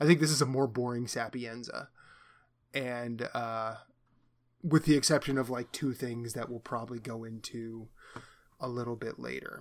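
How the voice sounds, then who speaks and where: With a Midwestern American accent, a man of medium pitch talks at a moderate pace with fairly even intonation and long, frequent pauses. His loudness swings widely on a very clean recording with a silent background. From US Midwest, Iowa. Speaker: podcast co-host. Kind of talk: casual chat.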